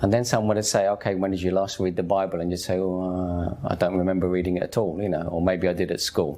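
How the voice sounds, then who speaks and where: With hardly any pauses, a man talks at a very fast pace in a very deep, low voice and flat, monotone intonation. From East London, England. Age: 50s. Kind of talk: personal testimony. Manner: conversational.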